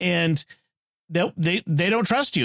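Lively intonation in an American accent, at a moderate pace over a quiet background. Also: man. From US Northeast, Boston. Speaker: podcast host. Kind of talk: casual chat.

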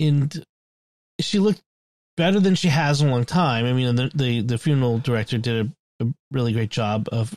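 A man speaks in a normal speaking voice of medium pitch, at a fairly quick pace with ordinary pitch variation, the sound dry and close with no echo. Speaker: podcast host. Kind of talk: casual chat.

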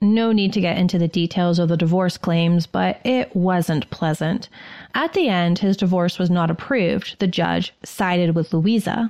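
A woman with a normal speaking voice talks at a moderate pace, her fairly low pitch showing ordinary variation. Loudness stays very even, and the recording is very clean with a silent background. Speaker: podcast co-host. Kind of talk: dramatic narration of history, storytelling.

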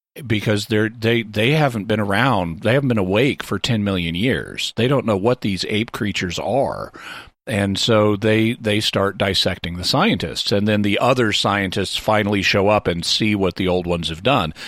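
A man's normal speaking voice, fairly low with ordinary pitch variation, at a moderate pace with hardly any pauses, in a very clean recording with a silent background. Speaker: panelist. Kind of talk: casual chat.

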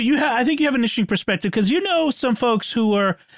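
The man's voice sits at a high pitch. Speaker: podcast host. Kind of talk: casual panel discussion.

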